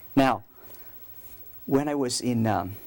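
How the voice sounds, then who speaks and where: A man is speaking. He has a Vietnamese accent. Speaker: priest. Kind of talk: talk to school students.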